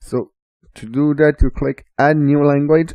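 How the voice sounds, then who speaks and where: A man speaks at a fairly slow pace with a Quebec accent. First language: French. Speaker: assistive technology trainer. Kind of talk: tutorial.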